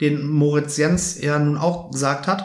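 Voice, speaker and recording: This man's fairly slow speech sits at a fairly high pitch, with audible echo from the room. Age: 40s. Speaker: football fan podcast host. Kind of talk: casual chat.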